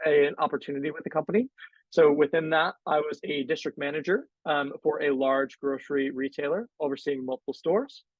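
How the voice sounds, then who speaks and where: In an American accent, a man with an ordinary speaking voice talks at a fairly high pitch. His pace is fairly quick, with ordinary pitch variation. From US Northeast, Connecticut. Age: 20s. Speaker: panel moderator. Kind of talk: panel discussion.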